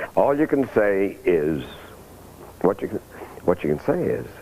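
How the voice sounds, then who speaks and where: A man speaks over noticeable background noise. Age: 70s. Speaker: interviewee recovered from depression. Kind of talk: documentary interview testimony.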